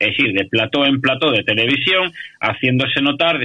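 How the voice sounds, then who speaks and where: The man speaks with ordinary pitch variation. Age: 40s. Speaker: radio commentator. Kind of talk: radio talk show discussion. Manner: halting.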